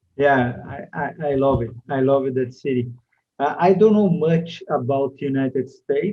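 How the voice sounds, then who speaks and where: A man with a Brazilian accent, medium pitch, fairly slow pace. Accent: Brazilian, non-native English. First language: Portuguese. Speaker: TV and media producer. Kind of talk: interview. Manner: halting, many fillers.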